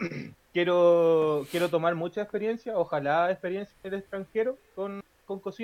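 High-pitched man with a Chilean accent, at a moderate pace, fairly even intonation, and a dry, close sound with no echo. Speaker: podcast co-host. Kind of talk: casual chat. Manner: halting.

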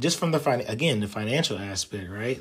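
A man is speaking. Music plays in the background. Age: 30s. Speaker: podcast host. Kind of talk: solo podcast monologue. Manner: casual, with frequent fillers.

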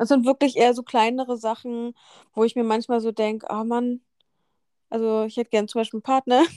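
A woman's fairly high, flat, monotone voice at a fairly quick pace, with long, frequent pauses and a dry, close sound free of echo. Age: 30. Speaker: podcast co-host. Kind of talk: casual chat.

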